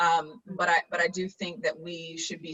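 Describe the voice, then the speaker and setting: Her voice sits at a fairly low pitch for a woman. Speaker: town hall host, local official. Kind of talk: panel discussion. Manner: fast.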